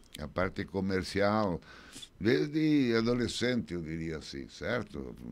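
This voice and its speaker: A man with a very deep, low pitch, at a very slow pace. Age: 70s. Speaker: retired business owner. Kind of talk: radio interview. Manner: halting.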